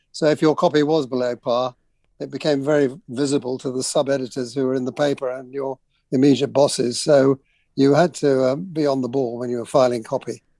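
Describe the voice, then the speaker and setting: Fairly quick and fairly even in intonation, the voice has a dark, mellow tone in a dry, close sound with no echo. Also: man, medium pitch for a man. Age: 70s. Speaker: journalist. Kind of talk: radio interview. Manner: hesitant, many fillers.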